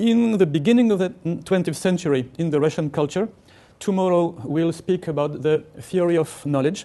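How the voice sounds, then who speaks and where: Moderate pace, ordinary pitch variation and a dark, mellow tone from a man with a high pitch, over a quiet background. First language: not English. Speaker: linguistics professor. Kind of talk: lecture.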